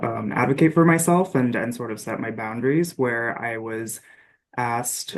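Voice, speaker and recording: He is a man with a normal speaking voice. His pitch is medium, his pace moderate, and his pitch variation ordinary. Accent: American. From US with teen years in Dominican Republic. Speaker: survey researcher. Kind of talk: panel discussion.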